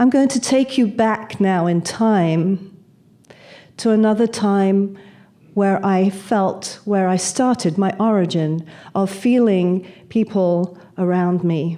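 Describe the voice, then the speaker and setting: A woman's dark, mellow tone in a British accent, at a very slow pace with ordinary pitch variation and very even loudness. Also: medium pitch for a woman. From England (Manchester, London). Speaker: speaker on spirituality and death. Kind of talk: talk to an audience, personal storytelling.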